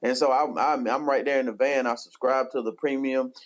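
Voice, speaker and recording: A man talks at a very fast pace with an American accent. His pitch is medium and his intonation fairly even. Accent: country twang. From rural eastern North Carolina. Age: 30s. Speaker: pastor. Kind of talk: testimony.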